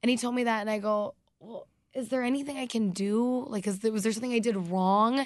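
A woman with an American accent, fairly high in pitch, animated in tone and fairly quick in pace. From US South, North Carolina. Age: 20s. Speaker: radio DJ. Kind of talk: casual chat.

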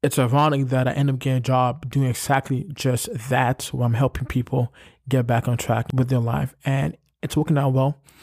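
A man with a medium pitch speaks at a moderate pace, somewhat breathy and with fairly even intonation. His loudness stays very even, and the sound is dry and close with no echo. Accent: New York. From New York, Brooklyn. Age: 20s. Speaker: podcast host. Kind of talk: motivational monologue. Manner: casual, filler-heavy.

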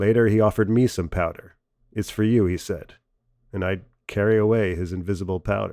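Speaking at a fairly quick pace with fairly even intonation, a man with an American accent has a dark, mellow tone and a fairly low pitch, on a very clean recording with a silent background. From US Midwest. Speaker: stand-up comedian. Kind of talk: essay reading.

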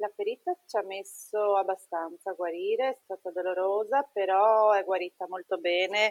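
With hardly any pauses, a woman talks in a plain, everyday voice using fairly even intonation. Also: medium pitch for a woman, moderate pace. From northern Italy, Treviso (Veneto). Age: 30s. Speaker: nurse and mother. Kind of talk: personal testimony in interview.

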